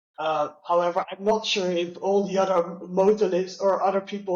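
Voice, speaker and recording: A man talks at a high pitch. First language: Dutch. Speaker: customer experience leader with low vision. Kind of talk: interview. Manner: halting, many fillers.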